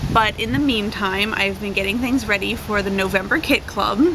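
Noticeable background noise sits behind a woman who speaks at a moderate pace with ordinary pitch variation. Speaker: craft kit seller. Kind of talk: casual vlog chat. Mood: cheerful, chatty. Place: garden. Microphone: camera far.

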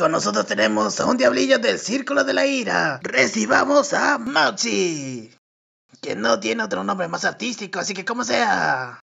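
A man does a put-on character voice, speaking at a moderate pace. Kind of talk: stage host patter, comic dub acting. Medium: fan dub. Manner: flirty, showy, sarcastic, with sudden anger.

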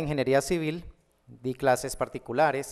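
A man with a Cali Colombian accent and fairly high pitch, over a quiet background. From Colombia, Cali. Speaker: math teacher and online educator; math teacher, online educator. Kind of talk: conference talk. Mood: warm, humorous. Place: hall. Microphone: podium.

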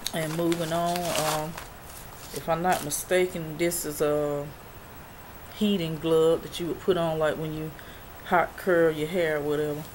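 A woman speaks at a very deep, low pitch with monotone, flat intonation. Her pace is fairly slow, with long, frequent pauses, over noticeable background noise. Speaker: YouTube freebies and review vlogger. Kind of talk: casual vlog showing products. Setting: home video. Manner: halting, filler-heavy.

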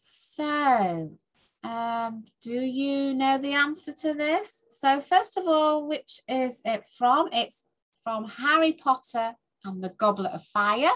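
A woman's high-pitched voice with lively intonation, very slow pace, and a quiet background. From England. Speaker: tutor. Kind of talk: casual talk to camera. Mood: warm, cheerful. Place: home room. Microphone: webcam.

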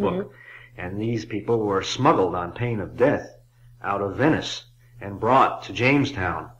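A man speaks at a moderate pace in a fairly low voice with a bright, sharp tone. Light background noise can be heard. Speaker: author and illustrator; interviewee. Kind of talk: interview answer. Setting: old cassette recording. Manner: hesitant, thoughtful. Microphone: old recording.

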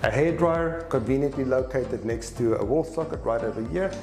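With audible room echo around him, a man talks over clear background music. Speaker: hotel reviewer. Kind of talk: travel vlog commentary. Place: hall. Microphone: lapel.

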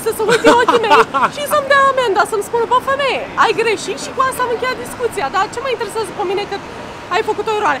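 Against crowd noise in the background, a woman speaks very fast in an extremely high pitch with ordinary pitch variation. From Romania. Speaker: vlogger. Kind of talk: casual vlog chat. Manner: soft-spoken. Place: street. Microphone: phone near.

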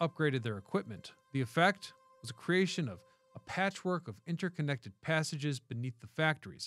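Faint music plays behind a man's voice. The sound is dry, without any echo. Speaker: history channel host. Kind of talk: documentary narration. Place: studio. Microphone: studio mic.

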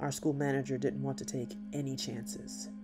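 A man speaks at a moderate pace while music plays behind him. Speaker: story narrator. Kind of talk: scripted storytelling narration.

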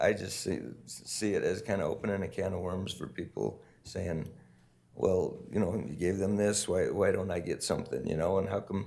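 Audible room echo hangs around this male voice. He speaks at a moderate pace. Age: 60s. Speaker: mayor chairing city council. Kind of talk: council meeting debate.

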